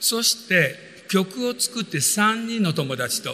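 Over noticeable background noise, a man speaks in a raised, projected voice with lively intonation. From Japan. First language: Japanese (speaking Portuguese). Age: 60s. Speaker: business motivational speaker and composer. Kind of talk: motivational talk.

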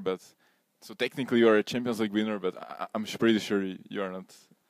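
With a fairly low pitch and ordinary pitch variation, a man speaks very fast in a dry, close sound with no echo. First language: Slovak. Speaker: podcast host. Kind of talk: interview.

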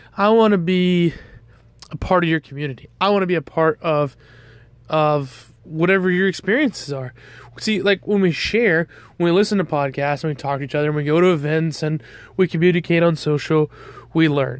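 A man with an American accent, fairly high in pitch, with ordinary pitch variation and a fairly quick pace. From US South, Georgia. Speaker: podcast host, off-road parts business owner. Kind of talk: solo monologue podcast introduction. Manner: casual, with frequent fillers.

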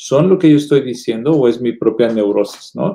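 With a dark, mellow tone, a man talks at a moderate pace using ordinary pitch variation. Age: 40s. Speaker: psychotherapist. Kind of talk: casual chat.

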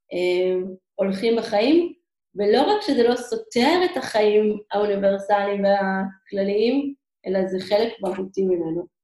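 This woman has a medium pitch and a dark, mellow tone with ordinary pitch variation. She speaks at a very slow pace. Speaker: emissary teacher abroad. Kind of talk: interview. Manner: halting.

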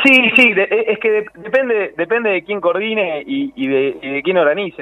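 With noticeable background noise, a man talks at a fairly quick pace, his pitch swinging very widely. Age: 30s. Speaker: politician and lawyer. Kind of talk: radio interview. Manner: halting.

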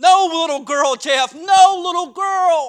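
A man speaks with an American accent. His voice is extremely high-pitched and bright and sharp in tone. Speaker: Baptist preacher and pastor. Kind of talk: sermon. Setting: church.

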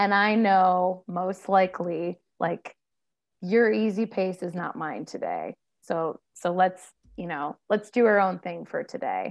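A woman with an American accent speaks at a fairly slow pace in a medium pitch with ordinary pitch variation. She has an unremarkable speaking voice. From Ohio, US Midwest. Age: 30s. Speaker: ultramarathoner and arts administrator. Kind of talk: podcast interview.

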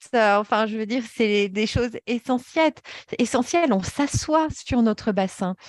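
In a very clean recording with a silent background and a dry, close sound with no echo, a woman with a plain, everyday voice speaks at a fairly slow pace and a fairly high pitch, with ordinary pitch variation. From Paris, France. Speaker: yoga therapy trainer. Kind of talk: interview.

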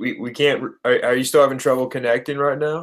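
Speaking in a Midwestern American accent, a man has a medium pitch. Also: very clean recording, silent background. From Indiana. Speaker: basketball podcast co-host. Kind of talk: casual chat. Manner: animated.

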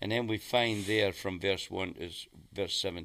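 Fairly even intonation and a bright, sharp tone come at a moderate pace in a very clean recording with a silent background. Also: man. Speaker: preacher teaching on prayer. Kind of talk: teaching talk on prayer. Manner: halting, many fillers.

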